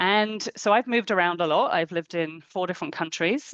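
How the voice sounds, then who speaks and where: A woman with a British accent talks at a moderate pace and fairly low pitch, the sound dry and close with no echo over a quiet background. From England. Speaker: coach and clinical psychologist. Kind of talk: webinar talk.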